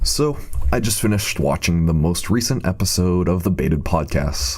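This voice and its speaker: A man speaks with a very deep, low pitch and lively intonation at very even loudness, over noticeable background noise. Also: moderate pace. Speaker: commentary YouTuber. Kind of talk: scripted commentary video. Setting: temporary replacement microphone.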